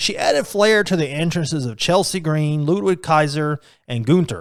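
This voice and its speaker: Lively intonation and a fairly quick pace mark an unremarkable speaking voice. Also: man. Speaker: indie ring announcer and wrestling podcaster. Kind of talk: commentary / top-five list narration about pro wrestling.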